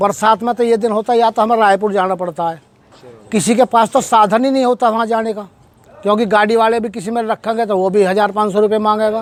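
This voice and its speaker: A man's high-pitched voice at a moderate pace, with fairly even intonation. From western Uttar Pradesh, near Noida. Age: old. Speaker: villager. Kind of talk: interview testimony.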